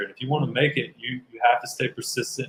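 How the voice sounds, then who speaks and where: A somewhat breathy man in a Southern US accent, medium in pitch, fairly quick and fairly even in intonation. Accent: Southern American. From US South, Kentucky. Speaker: actor and bodybuilder. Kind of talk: interview answers.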